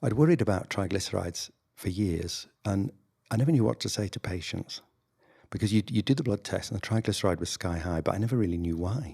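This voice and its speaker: In a northern English accent, a man talks at a fairly quick pace with a dark, mellow, somewhat breathy tone. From northern England. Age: 60s. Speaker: general practitioner doctor. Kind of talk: interview conversation. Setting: video podcast.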